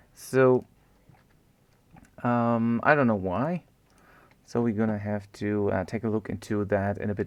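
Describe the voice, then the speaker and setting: A man with a German accent speaks at a fairly low pitch. He makes long, frequent pauses. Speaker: game development tutor, live streamer. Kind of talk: live-streamed coding tutorial. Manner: casual, thinking aloud with many fillers.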